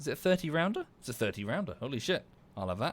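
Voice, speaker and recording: Very fast speech in an Estuary English accent with lively intonation. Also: man. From southern England. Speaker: video game streamer. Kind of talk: live gaming stream commentary. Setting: livestream. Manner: casual, halting with fillers.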